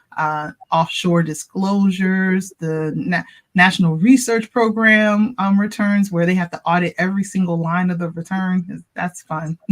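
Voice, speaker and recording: Somewhat breathy delivery at a fairly slow pace, fairly even intonation, in a Baltimore accent. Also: woman, medium pitch for a woman. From US, Baltimore, Maryland. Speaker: tax professional. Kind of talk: interview.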